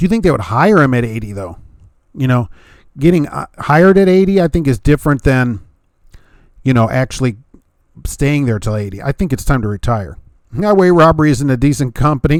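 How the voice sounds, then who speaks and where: Someone with an American accent talks at a fairly quick pace, with very wide pitch swings and long, frequent pauses. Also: man, medium pitch for a man. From US Midwest, Hammond Indiana. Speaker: truck driver and YouTube host. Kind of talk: live-stream Q and A, reading viewer chat. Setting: live stream. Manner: casual, conversational with many fillers.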